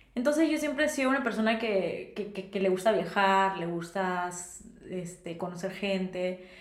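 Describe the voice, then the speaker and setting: Over noticeable background noise and audible room echo, a woman speaks at a moderate pace and medium pitch with lively intonation. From Peru, Lima. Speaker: podcast co-host, architect. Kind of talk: casual chat.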